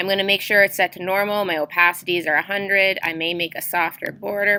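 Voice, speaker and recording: A woman's bright, sharp tone at medium pitch with ordinary pitch variation. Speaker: teacher. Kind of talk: tutorial.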